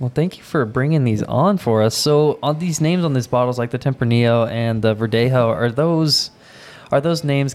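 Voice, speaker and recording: An unremarkable speaking voice from a man, medium in pitch with ordinary pitch variation and a fairly quick pace. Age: 20s. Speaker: podcast co-host. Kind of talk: casual chat.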